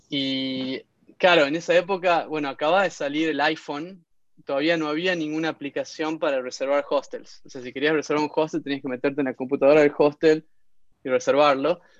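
In a normal speaking voice, a man talks at a fairly quick pace. His pitch sits fairly high, and his intonation stays fairly even. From Argentina, Tucumán (Concepción). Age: 30s. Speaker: entrepreneur. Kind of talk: interview testimony.

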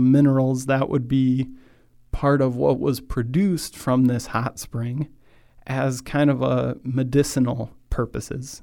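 This man has a medium pitch and a dark, mellow tone. He speaks with a Midwestern accent. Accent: general American, Midwestern. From US Midwest, Michigan. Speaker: podcast host and church speaker. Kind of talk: sermon-style talk. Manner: slow, deliberate, start and stop; not fast or excitable.

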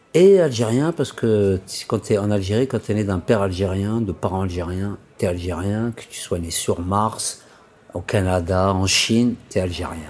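This man's voice sits fairly low, moving at a fairly slow pace with ordinary pitch variation. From Paris suburbs, France. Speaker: interviewee. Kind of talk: personal testimony.

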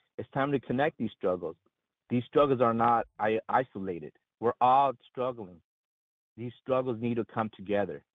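With a normal speaking voice, a man talks at a moderate pace and medium pitch, his pitch varying in an ordinary way. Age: 40s. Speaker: union member caller. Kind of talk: call-in.

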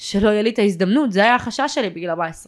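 A plain, everyday voice from a woman at medium pitch, fairly quick, on a very clean recording with a silent background. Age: 20s. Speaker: adopted person and social worker. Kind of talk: interview testimony.

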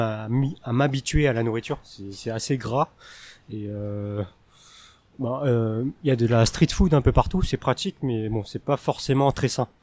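The recording is very clean, with a silent background and a dry, close sound with no echo. A man talks at a fairly slow pace with ordinary pitch variation and long, frequent pauses. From France. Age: 20s. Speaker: French teacher. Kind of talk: interview. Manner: hesitant.

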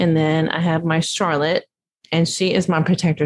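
A Texan accent at a fairly quick pace. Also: woman. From Dallas, Texas. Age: 50s. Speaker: small business owner, florist. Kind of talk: casual interview.

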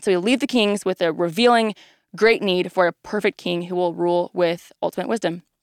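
With an American accent and an unremarkable speaking voice at medium pitch, a woman speaks at a fairly quick pace with fairly even intonation in a very clean recording with a silent background and a dry, close sound with no echo. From Texas, Dallas area. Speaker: ministry resident. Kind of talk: presentation of Bible overview.

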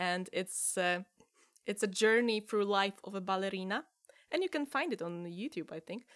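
A woman speaks in a Polish accent at a medium pitch. Her pace is moderate and her pitch variation ordinary. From Poland. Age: 30s. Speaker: improviser. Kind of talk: interview. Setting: video call. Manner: laughs often.

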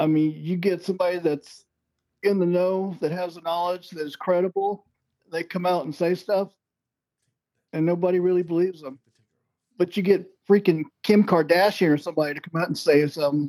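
Long, frequent pauses break up speech at a moderate pace, with fairly even intonation and a dark, mellow tone. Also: man. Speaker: Navy veteran, UFO commentator. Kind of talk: casual interview chat. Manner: brief, plain-spoken answers.

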